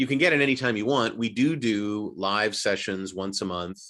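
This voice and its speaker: An unremarkable speaking voice from a man, moderate in pace, with ordinary pitch variation. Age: 60s. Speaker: voice actor and acting coach. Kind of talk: casual chat.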